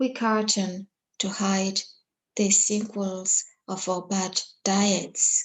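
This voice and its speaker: Here a woman speaks with a Congolese accent at a medium pitch. Her pace is very slow. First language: Lingala. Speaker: poet. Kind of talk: poetry reading; introduction.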